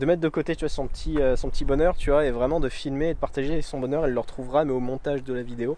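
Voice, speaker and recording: Speaking at a very fast pace with hardly any pauses, a man keeps a fairly high pitch, fairly even intonation and a dark, mellow tone. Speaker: vlogger. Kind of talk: casual vlog talk to camera. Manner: hesitant, many fillers.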